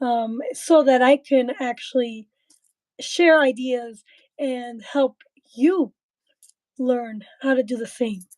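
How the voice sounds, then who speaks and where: Speaking at a very slow pace with long, frequent pauses, a woman uses a high voice with ordinary pitch variation. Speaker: livestream host. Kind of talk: livestream talk. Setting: live video stream. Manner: soft-spoken; halting.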